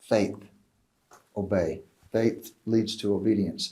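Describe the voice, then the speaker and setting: Spoken at a fairly slow pace, the voice has a dark, mellow tone and audible room echo. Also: man. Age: old. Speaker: Bible teacher. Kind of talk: lecture. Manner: conversational.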